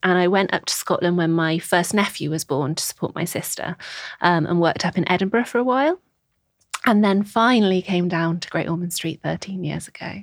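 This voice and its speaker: A woman speaks in a Scouse accent. Her voice is fairly low in pitch. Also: ordinary pitch variation, fairly quick pace. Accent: Scouse-tinged northern English. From Merseyside (Birkenhead, the Wirral), England. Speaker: nurse educator. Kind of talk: interview. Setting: studio.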